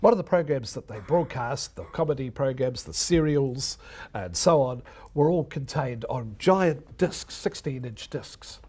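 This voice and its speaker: Somewhat breathy and dark, mellow in tone, a man with a New Zealand accent speaks at a fairly high pitch and a fairly slow pace, with lively intonation and big swings in loudness, on a very clean recording with a silent background. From New Zealand, Wellington region. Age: 60s. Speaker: retired radio broadcaster. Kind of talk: lecture.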